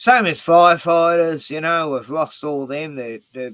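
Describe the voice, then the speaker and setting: In an Australian accent, a man talks at a fairly slow pace with ordinary pitch variation. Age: 60s. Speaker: YouTuber. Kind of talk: casual chat.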